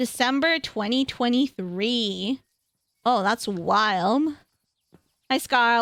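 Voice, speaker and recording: A woman speaks very slowly in a high pitch. Her speech is broken by long, frequent pauses. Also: dry, close sound with no echo. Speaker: streamer. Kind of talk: casual livestream chat while gaming.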